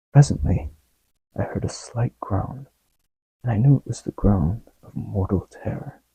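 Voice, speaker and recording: Soft-spoken and at a fairly slow pace, a man speaks in a dark, mellow tone with vocal fry and lively intonation, in a dry, close sound with no echo. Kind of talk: ASMR story reading, soft-spoken.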